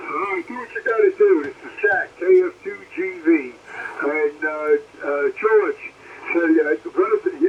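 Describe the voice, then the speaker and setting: Over noticeable background noise, a man with an American accent talks at a fairly slow pace, his loudness swinging widely. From Brooklyn, New York. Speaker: amateur radio operator. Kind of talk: ham radio contact. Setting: radio transmission.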